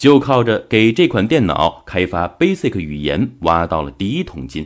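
Against a quiet background, a man speaks at a fairly slow pace with vocal fry. His pitch swings very widely. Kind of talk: audiobook-style book summary narration. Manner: steady, measured, explanatory; formal, narrative storytelling tone.

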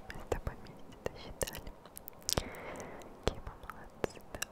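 A soft-spoken woman whispers in a soothing tone at a moderate pace. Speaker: ASMR creator. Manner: very close soft whisper, soothing. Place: home room. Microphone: studio mic.

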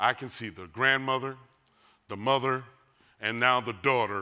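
Nothing stirs in the quiet background. A man talks in a bright, sharp tone. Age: 50s. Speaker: pastor. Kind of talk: sermon. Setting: church. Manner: animated. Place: church. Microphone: lapel.

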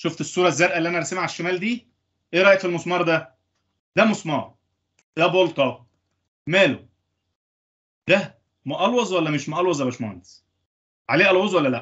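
Over a quiet background, a man talks fairly quickly at a high pitch with ordinary pitch variation. He takes long, frequent pauses. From Egypt. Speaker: engineering lecturer. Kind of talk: lecture. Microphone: video call.

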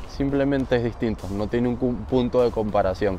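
Background noise is noticeable. Over it, a man talks at a medium pitch. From Venezuela, Barquisimeto (Lara). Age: 20s. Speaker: baseball player. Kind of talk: interview. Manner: halting, with repetitions.

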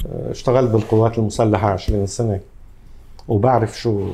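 A man speaks at a moderate pace in a medium pitch with a dark, mellow tone. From Lebanon, Tripoli. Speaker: salon owner. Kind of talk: interview. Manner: halting.

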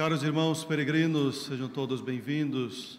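Against light background noise, a man talks at a fairly slow pace with fairly even intonation. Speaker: priest celebrating mass. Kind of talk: liturgical address and prayer. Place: church. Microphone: lapel.

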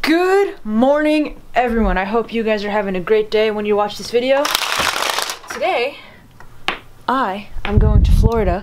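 A woman at a moderate pace with long, frequent pauses, over noticeable background noise. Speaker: vlogger. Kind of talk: casual vlog chat. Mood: somber, then excited. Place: home room. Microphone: phone near.

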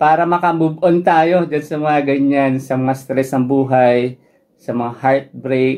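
Over a quiet background, a man with a dark, mellow tone and a fairly high pitch speaks at a moderate pace with ordinary pitch variation. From Philippines. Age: 30s. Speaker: running vlogger. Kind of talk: Q&A vlog, running tips. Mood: friendly, relaxed. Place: home room.

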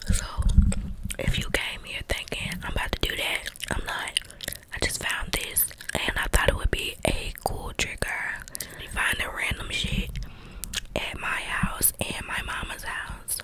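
A woman talks at a fairly slow pace, with long, frequent pauses. Loud background noise fills the dry recording, which has no echo. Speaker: ASMR creator. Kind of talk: casual ASMR chat and role play. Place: home room. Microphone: studio mic.

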